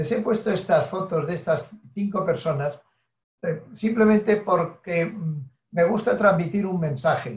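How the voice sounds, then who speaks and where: Speaking fairly slowly, a man uses a high pitch with ordinary pitch variation. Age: 70s. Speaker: professor, neuroscientist. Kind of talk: lecture. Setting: online seminar with slides. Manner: hesitant, with frequent fillers.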